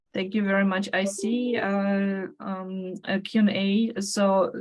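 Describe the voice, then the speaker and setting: A woman with a non-native accent, medium in pitch, flat and monotone, at a very slow pace. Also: hardly any pauses. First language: not English. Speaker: webinar moderator. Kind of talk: moderated panel Q&A. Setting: online webinar. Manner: halting, many fillers.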